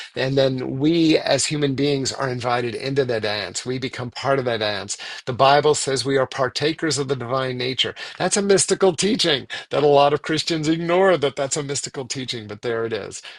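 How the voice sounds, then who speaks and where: A man with an American accent has a normal speaking voice, fairly high in pitch with ordinary pitch variation. He talks at a fairly quick pace against a quiet background. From Virginia, US. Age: 60s. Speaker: spiritual author and speaker. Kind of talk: guest talk.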